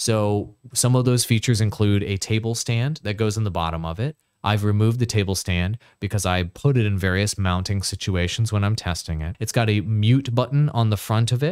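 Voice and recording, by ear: A clear, smooth, slightly mellow tone at a moderate pace, with few pauses, ordinary pitch variation, and a very clean recording over a silent background. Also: man, fairly low pitch for a man.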